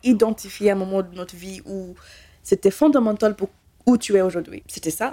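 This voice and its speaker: A woman speaks at a fairly high pitch with ordinary pitch variation and a dark, mellow tone. The sound is dry and close, with no echo. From Kenya, raised in Belgium from childhood. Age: 20s. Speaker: cybersecurity specialist. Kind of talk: interview testimony. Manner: animated.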